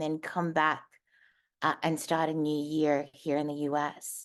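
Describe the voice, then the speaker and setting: There is a woman talking in an Australian accent. Little sound intrudes from the quiet background. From Australia, Darwin. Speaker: motivational speaker. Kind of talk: personal testimony talk. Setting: virtual stage.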